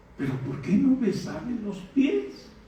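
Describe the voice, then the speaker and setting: Amid audible room echo and noticeable background noise, a man speaks fairly slowly at a high pitch with very wide pitch swings. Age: 60s. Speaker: pastor. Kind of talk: sermon. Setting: church.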